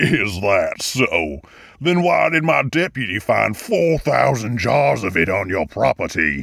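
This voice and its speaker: A man performs a put-on character voice with very wide pitch swings. His loudness stays very even. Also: medium pitch for a man, fairly slow pace. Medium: audio drama. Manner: drawling, sarcastic.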